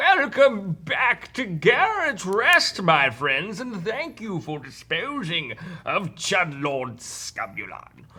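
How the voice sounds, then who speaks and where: Put on as a character voice at middle pitch, the delivery is very slow yet has hardly any pauses. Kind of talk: formal royal proclamation. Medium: actual play.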